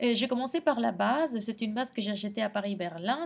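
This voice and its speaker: Here a woman speaks with a Spanish accent. Her fairly high voice carries lively intonation. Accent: Spanish accent in French, non-native. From Argentina. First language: Spanish (speaking French). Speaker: makeup tutorial creator. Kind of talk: tutorial. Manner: halting, many hesitations.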